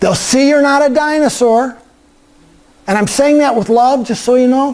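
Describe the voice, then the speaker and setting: A man talks in an animated tone at an extremely high pitch. Noticeable background noise sits behind him. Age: 60s. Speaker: guest speaker, LinkedIn trainer. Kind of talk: workshop talk. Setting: church meeting room with audience.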